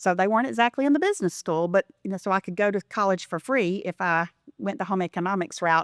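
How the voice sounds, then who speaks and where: Very clean and silent in the background, with a dry, close sound and no echo, the recording has a woman with a Southern US accent talking very fast at a medium pitch with lively intonation. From US South, Elberton, Georgia. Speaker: philanthropy consultant. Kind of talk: interview.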